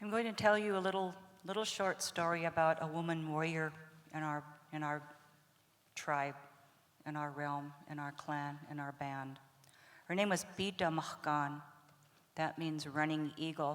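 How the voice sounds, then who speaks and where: This woman's pitch is very deep and low, with fairly even intonation. She talks at a very slow pace with long, frequent pauses. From Blackfeet nation, Montana, US. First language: Blackfeet (speaking French). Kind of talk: storytelling.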